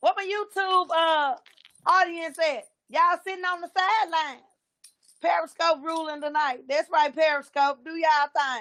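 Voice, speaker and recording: A woman with an extremely high pitch and a bright, sharp tone speaks at a moderate pace, with ordinary pitch variation and big swings in loudness. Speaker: live stream talk show host. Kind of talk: casual live-stream commentary. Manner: animated.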